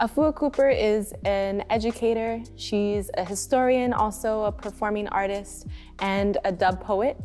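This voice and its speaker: A woman's fairly high voice at a fairly slow pace, ordinary pitch variation, faint music in the background. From Ontario, Canada. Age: 20s. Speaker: community organizer and DJ. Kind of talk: educational history presentation. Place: studio.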